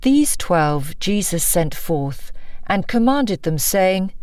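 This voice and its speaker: Lively intonation carries a woman's speech over noticeable background noise. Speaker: audiobook narrator. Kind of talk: non-fiction audiobook narration. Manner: engaging, authoritative.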